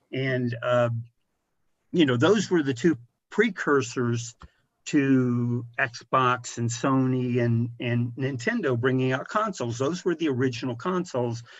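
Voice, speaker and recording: With a normal speaking voice, a man talks at a medium pitch and a fairly slow pace, with ordinary pitch variation. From rural Missouri, US Midwest. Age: 60s. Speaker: video game industry executive. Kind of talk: podcast interview.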